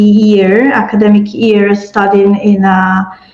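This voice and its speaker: A woman with a medium pitch talks in a monotone, flat intonation, with audible room echo and noticeable background noise around her. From Italy. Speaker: education and peace-building expert. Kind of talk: panel discussion.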